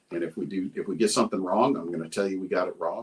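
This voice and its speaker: Speaking with a Texan accent, a man moves at a fairly quick pace. His pitch variation is ordinary. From Texas, Round Rock. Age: 60s. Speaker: retired police officer. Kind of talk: casual chat.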